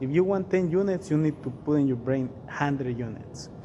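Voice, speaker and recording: There is audible room echo as a man with a non-native accent speaks in a fairly high pitch. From Mexico. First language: Spanish. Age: 40s. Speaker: real estate investor. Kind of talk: interview.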